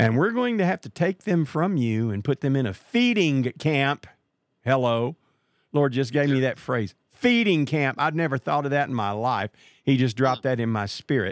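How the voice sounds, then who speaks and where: Lively intonation and a fairly high pitch mark a man's ordinary speaking voice at a moderate pace. The sound is dry and close with no echo, on a very clean recording with a silent background. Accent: American. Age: 60s. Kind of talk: religious talk show interview with prayer. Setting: live call.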